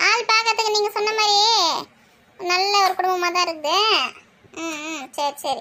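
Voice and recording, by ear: A woman performs a cartoonish character voice at an extremely high pitch, going fairly slowly with ordinary pitch variation.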